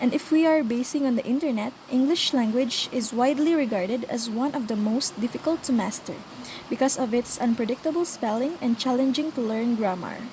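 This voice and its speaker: A high-pitched woman with a non-native accent at a moderate pace, ordinary pitch variation and very even loudness, over noticeable background noise. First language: not English. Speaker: student presenter. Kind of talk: scripted class presentation.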